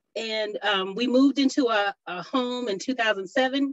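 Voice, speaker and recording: With an Ohio accent, a woman speaks in a dry, close sound with no echo. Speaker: urban farmer and food justice activist. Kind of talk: panel discussion. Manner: halting, many fillers.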